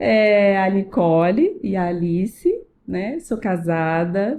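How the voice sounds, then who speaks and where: Here a woman speaks at medium pitch in a dark, mellow tone. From Rio de Janeiro, Brazil (Tijuca). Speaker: salon owner, businesswoman. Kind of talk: casual podcast interview.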